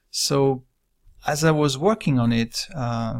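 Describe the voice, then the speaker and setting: Medium-pitched male voice in a French accent, with ordinary pitch variation, on a very clean recording with a silent background. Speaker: director and illustrator. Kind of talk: casual walkthrough of own work. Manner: halting, with fillers.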